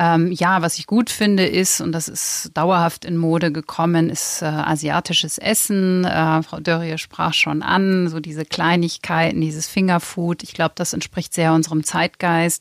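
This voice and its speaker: With hardly any pauses, a woman talks at a fairly slow pace in a fairly low pitch and a monotone, flat intonation. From Lower Saxony, near East Frisia. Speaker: magazine editor-in-chief. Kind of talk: interview conversation. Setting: studio.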